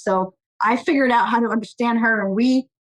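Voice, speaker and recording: A woman with an American accent and an unremarkable speaking voice talks at a moderate pace. Her fairly high pitch comes through in a dry, close sound with no echo. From Portugal, raised in US from childhood. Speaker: technology executive. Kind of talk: interview.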